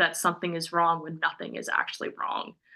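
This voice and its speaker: A woman with a fairly low pitch and a bright, sharp tone speaks with vocal fry against a quiet background. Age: 20s. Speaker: podcast co-host. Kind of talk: casual chat.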